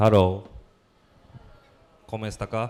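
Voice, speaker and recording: Over noticeable background noise, a man talks at a fairly low pitch in a monotone, flat intonation. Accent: Japanese. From Japan, Tokyo area. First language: Japanese. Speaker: playwright and theater director. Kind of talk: symposium presentation. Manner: halting.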